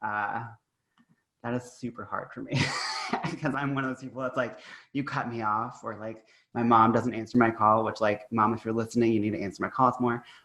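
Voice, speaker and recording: In an American accent, a man speaks at medium pitch in a flat monotone, moving at a fairly quick pace but with long, frequent pauses. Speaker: podcast host. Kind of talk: casual chat.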